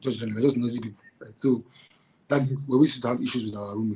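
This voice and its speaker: A man speaks at a very fast pace with fairly even intonation. His tone is dark and mellow, and somewhat breathy. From Nigeria. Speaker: entrepreneur. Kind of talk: casual chat. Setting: podcast recording. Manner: halting, many repetitions.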